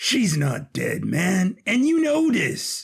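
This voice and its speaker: In a put-on character voice, a man speaks very slowly at a high pitch with very wide pitch swings. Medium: audio drama. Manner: blunt, streetwise.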